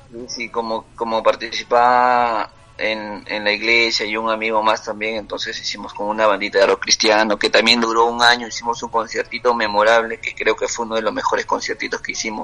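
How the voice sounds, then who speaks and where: Against noticeable background noise, a man talks at a fairly quick pace with hardly any pauses. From Peru, Huancabamba (Piura highlands) and Lima. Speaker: singer-songwriter and cook. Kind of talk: casual interview. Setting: WhatsApp call.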